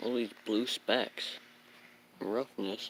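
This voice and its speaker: Quiet and at a very slow pace, a man speaks. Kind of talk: casual car review to camera. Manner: quiet, hard to hear.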